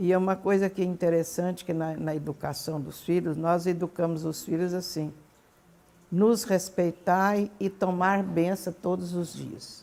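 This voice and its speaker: This woman has a dark, mellow tone and a fairly low pitch. She talks at a fairly slow pace with fairly even intonation. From Brazil, Goiás. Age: 80s+. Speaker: grandmother sharing memories. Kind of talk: oral history interview.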